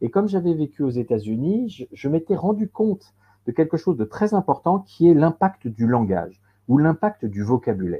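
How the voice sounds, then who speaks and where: At a moderate pace, a man speaks in a fairly high pitch with very wide pitch swings. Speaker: professional coach and trainer. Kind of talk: webinar presentation. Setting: online webinar. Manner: halting, with frequent repetitions and fillers.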